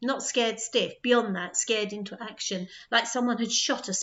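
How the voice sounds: The clip has a natural reading voice.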